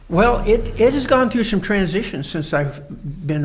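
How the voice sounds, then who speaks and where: With an American accent, a man speaks at a fairly slow pace with lively intonation and vocal fry. Audible room echo is present. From Colorado. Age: 70s. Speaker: Freemason lodge instructor. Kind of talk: podcast interview. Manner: halting, many fillers.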